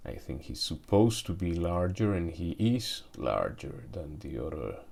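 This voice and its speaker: A man with a Spanish accent speaks in a very deep, low pitch with vocal fry and lively intonation. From Mexico. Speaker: toy collector YouTuber. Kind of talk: product review unboxing. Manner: hesitant, many fillers and restarts.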